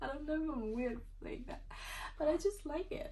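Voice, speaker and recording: With audible room echo, a woman speaks at a moderate pace in a non-native accent. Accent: non-native English pronunciation. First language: not English (English is third language). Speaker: booktuber. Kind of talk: casual vlog chat. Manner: casual, filler-heavy.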